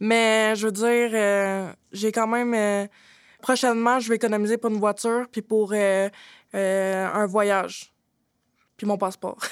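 A woman's fairly high voice at a very slow pace, monotone and flat, with long, frequent pauses, on a very clean recording over a silent background. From Quebec, Drummondville. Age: 20s. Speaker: former shelter resident, youth spokesperson. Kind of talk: round-table discussion.

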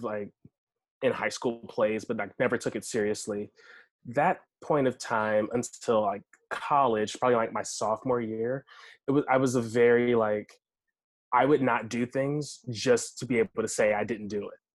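Against a quiet background, a man with an American accent speaks at a fairly slow pace in a medium pitch. He has a plain, everyday voice with ordinary pitch variation. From Washington, D.C. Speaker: actor and storyteller. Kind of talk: casual chat.

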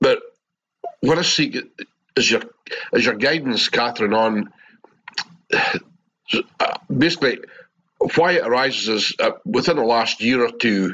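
A man speaks with a Scottish accent at medium pitch, his intonation lively. He pauses long and often, and his loudness stays very even. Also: moderate pace. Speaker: participant asking a spiritual teacher for guidance. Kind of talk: question in a live group session. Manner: halting.

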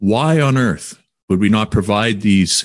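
In a Canadian accent, a man with an unremarkable speaking voice talks at a fairly low pitch with lively intonation, in a dry, close sound with no echo over a quiet background. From Quesnel, British Columbia, Canada. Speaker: podcast host. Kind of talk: casual interview.

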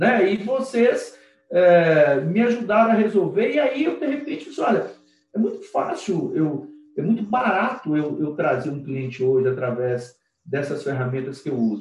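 The voice swings very widely in pitch at a moderate pace. Audible room echo is present. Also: man, high pitch for a man. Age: 50s. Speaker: lawyer. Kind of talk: casual interview. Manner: animated.

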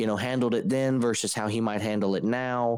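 In a very clean recording with a silent background, a man talks in a plain, everyday voice at medium pitch with fairly even intonation. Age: 20s. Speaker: podcast co-host, church network. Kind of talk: casual chat.

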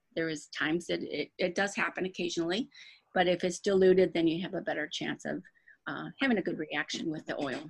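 Speaking at a fairly quick pace, a woman uses a fairly low voice with vocal fry and ordinary pitch variation. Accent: American. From Michigan, Dearborn Heights near Detroit. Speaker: essential oils seller, retired dental worker. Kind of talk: interview.

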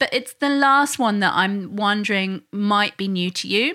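A woman's voice has a bright, sharp tone and ordinary pitch variation. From England. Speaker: parenting instructor and podcast host. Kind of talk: podcast monologue.

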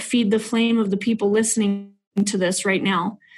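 A woman speaks at a moderate pace with a somewhat breathy voice. Her pitch is fairly high, and her intonation stays fairly even. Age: 30s. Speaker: realtor and nonprofit founder. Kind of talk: testimony.

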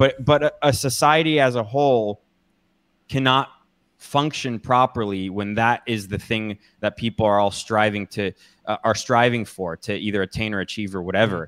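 A man with an American accent speaks in an ordinary speaking voice at medium pitch. He keeps a moderate pace with ordinary pitch variation. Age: 30s. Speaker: political commentator. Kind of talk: casual chat.

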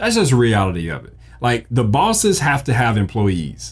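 Very wide pitch swings and vocal fry mark this man's animated tone. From US South, Mississippi. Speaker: podcast host, graphic designer. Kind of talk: casual tutorial monologue.

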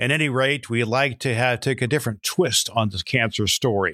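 A man's bright, sharp tone in a very clean recording with a silent background. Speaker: podcast host, former minister. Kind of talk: interview.

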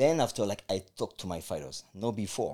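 Someone with a French accent speaks at a fairly quick pace in a dark, mellow tone, on a very clean recording with a silent background. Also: man. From France. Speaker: martial arts coach and life coach. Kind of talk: interview conversation.

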